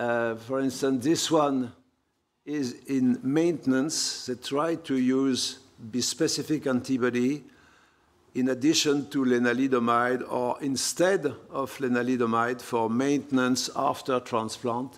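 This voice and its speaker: A man speaks at a fairly slow pace in a French accent. His intonation is fairly even. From France. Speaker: professor of hematology. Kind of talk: lecture. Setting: conference hall with audience.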